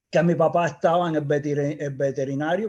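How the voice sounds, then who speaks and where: A man speaks at a moderate pace with a Cuban accent against a quiet background. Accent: Cuban, kept. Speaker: engineer, project founder. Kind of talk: interview conversation. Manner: halting, repeats words.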